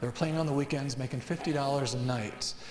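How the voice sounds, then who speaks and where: A man is heard over noticeable background noise. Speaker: singer, songwriter and motivational speaker. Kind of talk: motivational talk to students. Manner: upbeat, casual.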